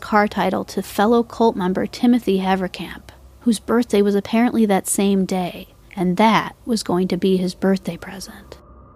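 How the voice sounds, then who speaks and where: A woman at a medium pitch speaks at a moderate pace with fairly even intonation against noticeable background noise. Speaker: true crime podcast host. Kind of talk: true-crime narration, scripted.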